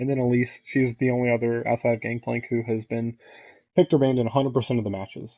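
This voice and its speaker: Mumbling at a fairly quick pace, a man speaks at a medium pitch. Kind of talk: casual commentary rant to camera.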